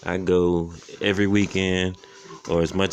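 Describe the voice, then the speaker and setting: Someone with an American accent speaks in a monotone, flat intonation over light background noise. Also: man. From Florida, US. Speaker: thrift reseller / vlogger; thrift reseller, vlogger. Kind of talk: casual show-and-tell vlog. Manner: fast. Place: home room. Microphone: phone near.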